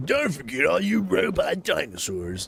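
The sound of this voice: Over light background noise, a man uses a put-on character voice at a fairly high pitch and a moderate pace.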